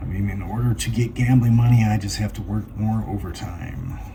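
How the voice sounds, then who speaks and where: A man mumbles at a fairly slow pace. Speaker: lottery scratch-off channel host. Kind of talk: casual commentary while scratching tickets. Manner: mumbling.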